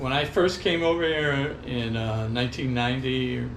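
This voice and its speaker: There is noticeable background noise. The room echo can be heard too. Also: man. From Hawaii (Maui), born in Los Angeles County. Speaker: retired expat surfer. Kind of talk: interview. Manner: relaxed, many fillers.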